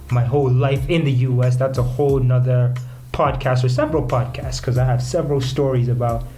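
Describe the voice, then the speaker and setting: This speaker has an American accent and talks at a fairly quick pace in a flat monotone, with very even loudness. Audible room echo and noticeable background noise can be heard. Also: man, medium pitch for a man. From United States, later Kenya. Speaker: podcast host. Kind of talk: casual podcast monologue.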